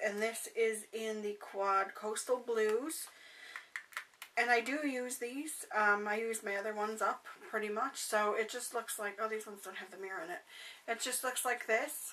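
Amid noticeable background noise, a woman at a fairly high pitch keeps a fairly even intonation while her loudness swings widely. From Canada. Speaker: beauty vlogger. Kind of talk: casual vlog, unboxing. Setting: bedroom at home, recording alone. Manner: chatty, friendly.

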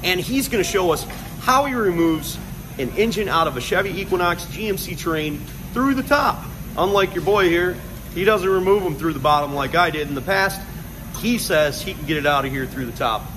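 Noticeable background noise accompanies a man who speaks at a fairly quick pace. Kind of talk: casual vlog chat. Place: workshop. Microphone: phone near.

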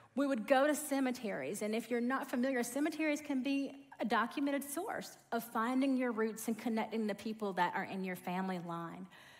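A woman speaks with a fairly high pitch, lively intonation and a somewhat breathy quality. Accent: Southern US. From US South, rural South Georgia. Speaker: corporate trainer and speaker; corporate trainer, speaker. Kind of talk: sermon. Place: church. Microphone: headset.

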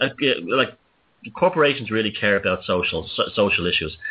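This man speaks in a Dublin accent at a moderate pace. His medium pitch swings very widely. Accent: Dublin Irish. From Ireland, Dublin working-class area. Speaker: radio show host. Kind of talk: casual chat.

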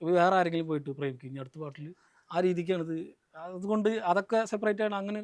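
A man with a high-pitched voice speaks with big swings in loudness. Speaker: YouTube movie roaster. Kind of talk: interview.

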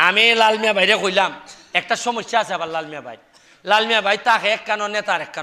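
A man speaks in a raised, projected voice with a high pitch. His tone is bright and sharp, with ordinary pitch variation. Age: 40s. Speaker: member of parliament. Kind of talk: public speech.

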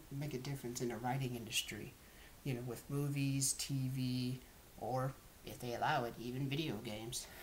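This man has an American accent and a medium-pitched voice with fairly even intonation. Light noise sits in the background. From US South, Georgia (Lawrenceville). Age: 20s. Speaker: college student. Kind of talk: self-introduction monologue. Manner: halting, with fillers. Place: home room. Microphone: webcam.

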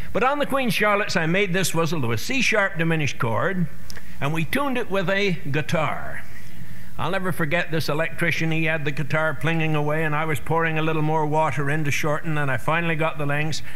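Keeping a very even loudness, a man talks at a fairly quick pace. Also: ordinary pitch variation. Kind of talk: speech to an audience.

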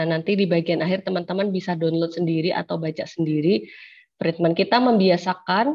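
An unremarkable speaking voice with ordinary pitch variation. The background is quiet. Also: woman. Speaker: law lecturer. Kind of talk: online lecture. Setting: video call. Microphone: unstable connection, audio cutting out; webcam.

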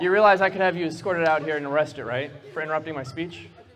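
Playful in tone, a man races along at a very fast pace with a high voice. His pitch varies in an ordinary way, and background noise is noticeable. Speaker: stage hypnotist. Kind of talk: live stage hypnosis show with hypnotic induction commands. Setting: stage with audience at a school prom. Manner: playful, laughing, teasing banter with volunteers.

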